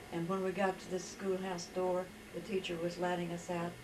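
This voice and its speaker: A woman speaks in a fairly low, flat monotone. Room echo is audible, along with noticeable background noise. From West Virginia. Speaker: storyteller recounting her life. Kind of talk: life story testimony.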